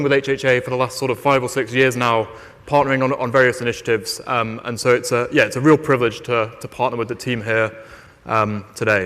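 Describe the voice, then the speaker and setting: In a British accent, a man with medium pitch talks at a very fast pace. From Britain. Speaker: investment firm AI lead. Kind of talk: conference keynote talk. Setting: stage with audience. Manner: halting, many fillers and repeated words.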